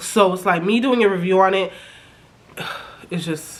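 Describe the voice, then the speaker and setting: A woman with a medium-pitched voice speaks in an animated tone. Room echo can be heard, along with noticeable background noise. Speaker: YouTuber reality TV reviewer. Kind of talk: casual recap commentary.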